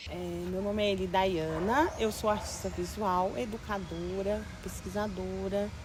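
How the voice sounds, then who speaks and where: A woman speaks at a fairly slow pace. Noticeable background noise and audible room echo surround her voice. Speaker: visual artist. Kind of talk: documentary interview. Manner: talkative.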